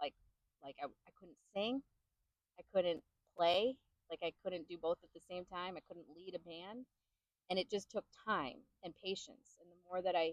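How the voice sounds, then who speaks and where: A woman with an American accent at a medium pitch and moderate pace, ordinary pitch variation, long, frequent pauses, dry, close sound with no echo. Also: big swings in loudness. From US Midwest, Chicago. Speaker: singer-songwriter and bandleader. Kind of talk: interview.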